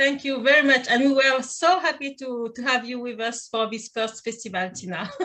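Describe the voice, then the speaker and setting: A high-pitched woman with a French accent speaks at a moderate pace, with ordinary pitch variation. She barely pauses, and her loudness swings widely. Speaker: event host. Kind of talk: panel moderation. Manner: halting.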